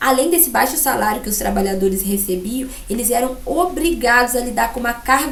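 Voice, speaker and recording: A woman talks at a moderate pace in a high pitch. Audible room echo and noticeable background noise surround her voice. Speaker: school teacher. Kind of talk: recorded lesson. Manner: halting with fillers.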